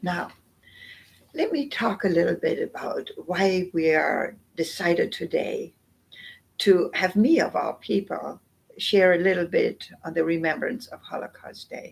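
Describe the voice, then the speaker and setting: A woman speaks at a fairly slow pace, her loudness swinging widely. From northern Germany. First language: German. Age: 80s+. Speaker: Holocaust remembrance speaker, human rights consultant. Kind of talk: public talk, personal testimony. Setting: museum exhibit. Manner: halting, many fillers.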